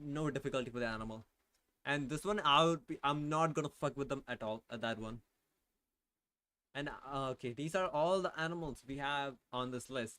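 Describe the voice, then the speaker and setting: With a non-native accent and a bright, sharp tone, the speaker goes at a moderate pace and leaves long, frequent pauses. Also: man. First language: not English. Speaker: vtuber streamer. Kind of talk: casual live stream chat. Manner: animated, emphatic; halting, filler-heavy.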